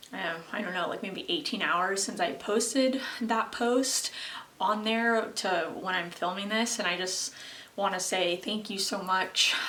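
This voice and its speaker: A woman at a medium pitch talks at a fairly slow pace with ordinary pitch variation. Audible room echo and noticeable background noise fill the recording. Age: 20s. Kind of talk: casual vlog monologue. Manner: hesitant, many fillers.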